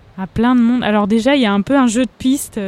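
Her voice has a dark, mellow tone, and this woman keeps her intonation fairly even. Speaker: singer. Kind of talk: casual interview. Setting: outdoor café terrace.

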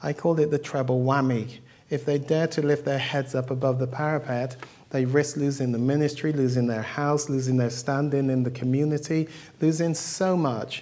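A man speaks with a fairly high pitch and fairly even intonation. His tone is dark and mellow, his loudness very even. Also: moderate pace. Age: 50s. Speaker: sex therapist and former solicitor. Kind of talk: talk. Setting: microphone, audience talk.

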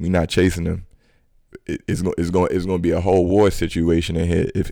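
This man's voice is very deep and low, with a dark, mellow tone and a New York accent. He speaks very fast in a monotone, flat intonation. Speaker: criminal justice advocate. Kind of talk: casual chat.

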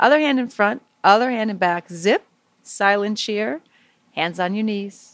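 With a normal speaking voice, a woman talks at a fairly slow pace and a medium pitch, with ordinary pitch variation. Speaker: meditation teacher. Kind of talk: guided meditation for children. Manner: soft, slow, soothing; gentle, warm, playful.

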